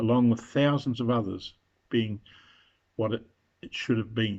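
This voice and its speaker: A New Zealand accent at a moderate pace, with fairly even intonation. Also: man. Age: 70s. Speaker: retiree making a political video. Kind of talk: open letter address. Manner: formal.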